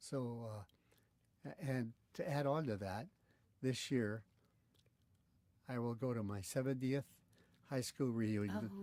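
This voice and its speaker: Using a medium pitch and a dark, mellow tone, a man speaks at a fairly slow pace with ordinary pitch variation and long, frequent pauses. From California, Italian-American neighborhood. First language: Italian. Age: 80s+. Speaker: interviewee, father. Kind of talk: oral history interview. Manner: halting.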